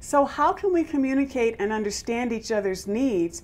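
A woman with an American accent, fairly high pitch and very wide pitch swings at a moderate pace. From US, Compton, California; California. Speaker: travel show host, yoga teacher. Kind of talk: scripted narration. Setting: filmed in Tanzania. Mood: warm, engaged. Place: studio.

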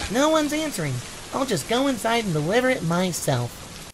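Amid clear background noise, a man with an extremely high pitch talks at a fairly quick pace. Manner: cheerful, excitable.

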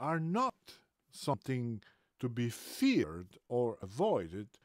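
Over a quiet background, a man speaks very slowly with very wide pitch swings, the sound dry with no echo. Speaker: book reader. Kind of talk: reading aloud. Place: home room. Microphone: webcam.

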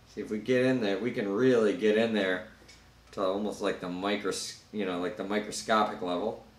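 A man talks at a fairly quick pace with a fairly low pitch and fairly even intonation. Room echo is audible. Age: 30s. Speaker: YouTuber doing product reviews. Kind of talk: unboxing and product review. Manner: casual, loose with filler words. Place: home room. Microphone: camera far.

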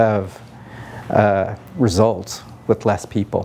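A man speaks with a Californian accent at a fairly low pitch, his tone dark and mellow. His intonation stays fairly even over light background noise. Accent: General American (Californian). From US West Coast (Palo Alto, California). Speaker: city council candidate; council candidate. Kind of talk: interview. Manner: hesitant, many fillers. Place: meeting room. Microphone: lapel.

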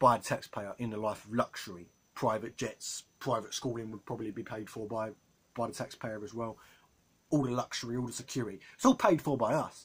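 A somewhat breathy man's voice, fairly quick in pace and fairly even in intonation. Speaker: political commentator vlogger. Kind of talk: opinion commentary vlog. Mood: indignant, critical. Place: home room. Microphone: phone near.

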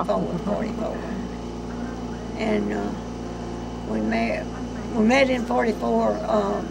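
The speaking pace is fairly slow. Loud background noise runs underneath. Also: woman. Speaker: grandmother. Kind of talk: casual reminiscing in family conversation. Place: home room.

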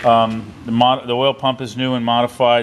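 There is light background noise as a man speaks with fairly even intonation. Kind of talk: explanatory shop talk. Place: workshop. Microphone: phone near.

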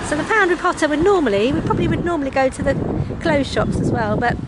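Through loud background noise, a woman speaks at a fairly quick pace, the sound dry with no echo. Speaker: vlogger. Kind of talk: casual vlog chat. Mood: cheerful, joking. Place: street. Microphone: phone near.

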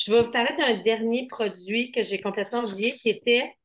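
A woman with a Quebec accent, against a quiet background. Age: 50s. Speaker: skincare seller. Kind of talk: sales pitch. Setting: video call. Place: shop. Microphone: webcam.

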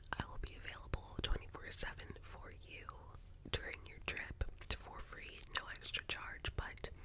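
Soft-spoken, the speaker moves at a fairly slow pace. Loud background noise fills the recording. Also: woman. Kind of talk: soft-spoken roleplay chat. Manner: soft close-mic ASMR speaking voice. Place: home room. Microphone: earbuds.

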